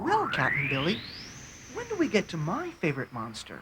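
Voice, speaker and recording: Over loud background noise, a cartoonish character voice rattles along at a fairly quick pace. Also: female-sounding voice, medium pitch for a woman. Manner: eager, curious.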